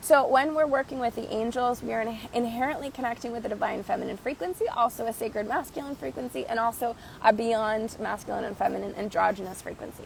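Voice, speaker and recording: In a put-on character voice that is raspy, the speaker races along at a very fast pace with hardly any pauses over light background noise. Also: woman, fairly high pitch for a woman. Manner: spiritual teaching.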